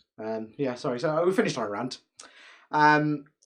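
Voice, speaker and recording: A man's fairly high voice with a British accent and lively intonation. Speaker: podcast co-host. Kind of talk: casual chat.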